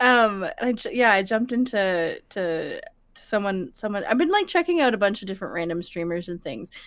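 With a normal speaking voice, a woman talks at a fairly quick pace and medium pitch, her intonation lively. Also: very clean recording, silent background. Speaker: streamer and podcast guest. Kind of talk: casual chat.

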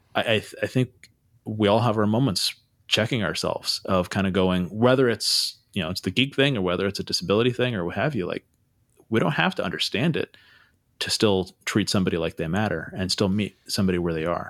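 In a very clean recording with a silent background, a man with a Californian accent speaks at a fairly quick pace. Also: fairly low pitch for a man, ordinary pitch variation. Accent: Californian American. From US West Coast (Santa Cruz, California). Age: 40s. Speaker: podcast host. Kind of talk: casual chat.

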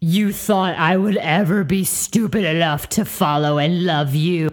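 A woman puts on a gravelly character voice with a fairly low pitch and ordinary pitch variation. Her loudness stays very even, and her pace is moderate. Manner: hostile, contemptuous.

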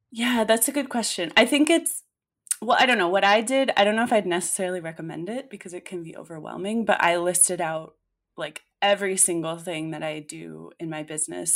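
A woman with an unremarkable speaking voice talks at a moderate pace, her fairly low pitch moving with ordinary variation, on a very clean recording with a silent background. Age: 20s. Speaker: copywriter. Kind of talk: casual chat.

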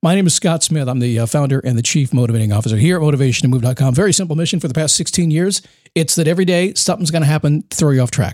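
A man's fairly high, somewhat breathy voice with lively intonation, at a very fast pace with hardly any pauses. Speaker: motivational podcast host. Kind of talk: solo podcast monologue. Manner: casual, conversational.

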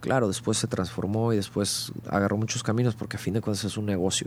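A man with a plain, everyday voice talks at a moderate pace, fairly low in pitch with fairly even intonation. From Monterrey, northern Mexico. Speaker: rock band vocalist. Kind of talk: casual interview.

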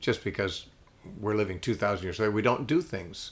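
A man's somewhat breathy voice, fairly low in pitch, at a fairly quick pace. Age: 60s. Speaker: radio host and Bible teacher. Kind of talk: interview. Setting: living room.

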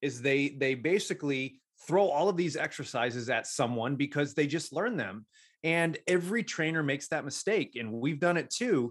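Speaking with a plain, everyday voice, a man talks at a moderate pace with a fairly high pitch. His intonation is lively, and the background is quiet. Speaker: strength and conditioning coach. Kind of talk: casual chat.

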